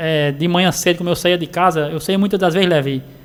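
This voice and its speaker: A man's high voice at a very fast pace. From Sertão of Paraíba, northeastern Brazil. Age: 40s. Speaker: roadside vendor. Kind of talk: radio interview. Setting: radio studio.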